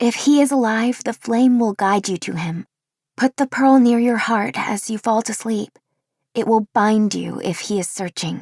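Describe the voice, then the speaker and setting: A woman puts on a character voice pitched fairly high for a woman, at a moderate pace. The recording is very clean, with a silent background. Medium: read story. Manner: warm, gentle.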